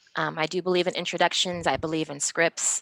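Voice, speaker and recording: A woman in an American accent, fairly low in pitch, with a dry, close sound and no echo. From Minnesota, Minneapolis-St Paul. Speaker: interpreter and trainer. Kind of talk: interview. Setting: video call. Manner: fast.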